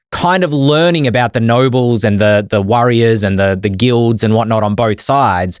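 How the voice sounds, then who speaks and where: A man with an Australian accent at a medium pitch and moderate pace, animated in tone with lively intonation, on a very clean recording with a silent background. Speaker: podcast co-host. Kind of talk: casual chat.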